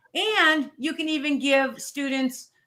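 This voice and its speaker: A woman uses a raised, projected voice. Her high pitch carries a bright, sharp tone. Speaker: teacher and edtech presenter. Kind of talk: webinar tutorial.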